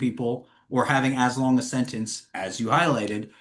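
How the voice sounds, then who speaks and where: Man's animated tone at a moderate pace. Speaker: formerly incarcerated advocate. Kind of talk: webinar panel discussion.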